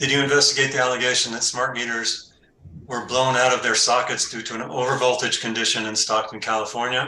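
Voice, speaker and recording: Over noticeable background noise, a man at a medium pitch rattles along very fast in a flat monotone. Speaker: cross-examining party. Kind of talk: cross-examination in regulatory hearing.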